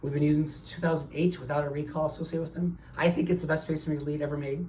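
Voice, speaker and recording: Over noticeable background noise, a man talks at a fairly high pitch with monotone, flat intonation. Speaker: cardiologist. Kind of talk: doctor-patient consultation. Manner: fast.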